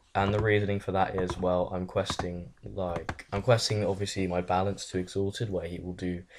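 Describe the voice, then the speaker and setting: Fairly quick and flat in a monotone, a man with an English accent speaks at a fairly low pitch. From England. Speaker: gaming youtuber. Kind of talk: casual Q&A chat. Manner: casual, filler-heavy.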